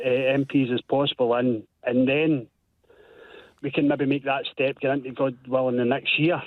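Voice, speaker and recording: The speaker has a strong Glasgow accent. The pace is moderate. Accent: strong Scottish (Glasgow). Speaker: caller. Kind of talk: radio phone-in call.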